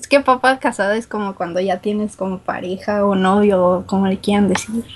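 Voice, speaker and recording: A woman speaks in a northern Mexican accent with ordinary pitch variation. Her voice is somewhat breathy. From Guadalajara, Mexico. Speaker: listener caller. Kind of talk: casual chat.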